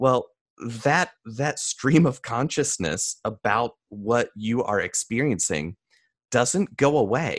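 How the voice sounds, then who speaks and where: A man at a very slow pace, medium in pitch, with lively intonation, a dry, close sound without echo, and a quiet background. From US South, mountains of North Carolina. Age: 30s. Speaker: mentalist and speaker. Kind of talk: interview conversation.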